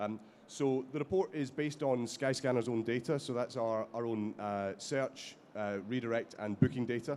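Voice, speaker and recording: A Scottish accent at a moderate pace. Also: man, medium pitch for a man, ordinary pitch variation, hardly any pauses. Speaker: company executive, panelist. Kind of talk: conference panel presentation. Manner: halting, many fillers.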